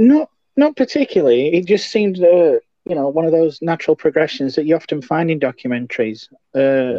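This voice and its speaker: Using a plain, everyday voice, a man talks at a fairly quick pace and a fairly high pitch with lively intonation. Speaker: co-host reading trivia. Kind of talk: casual chat.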